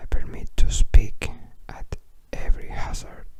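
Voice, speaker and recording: Someone whispers with a Spanish accent over noticeable background noise. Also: man. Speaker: ASMR creator. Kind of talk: reading aloud. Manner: whispering; halting.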